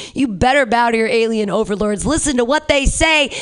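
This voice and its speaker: A woman is speaking. She keeps a moderate pace. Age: 40s. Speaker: comedy show host. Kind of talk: stand-up. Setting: stage with audience. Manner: animated.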